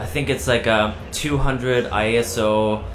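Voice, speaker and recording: A man speaks with a non-native accent. Noticeable background noise and audible room echo are present. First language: not English. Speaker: skateboard filmmaker. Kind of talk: casual interview. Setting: live event recording.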